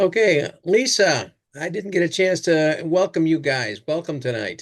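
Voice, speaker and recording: A man with a high-pitched voice speaks at a fairly slow pace, his intonation lively. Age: old. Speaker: fly fishing club host. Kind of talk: casual chat.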